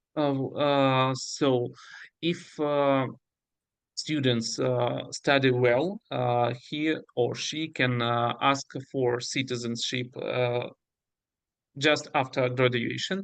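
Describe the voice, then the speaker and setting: At a very slow pace with long, frequent pauses, the speaker uses fairly even intonation in a Russian accent against a quiet background. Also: man, medium pitch for a man. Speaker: university representative. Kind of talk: webinar Q&A. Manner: halting.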